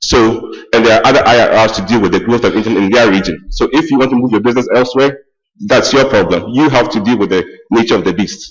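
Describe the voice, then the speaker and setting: A man's speech rushes along at a very fast pace. His medium pitch shows ordinary variation. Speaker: meeting participant commenting on policy. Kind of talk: public policy discussion comment. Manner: halting, repeated words.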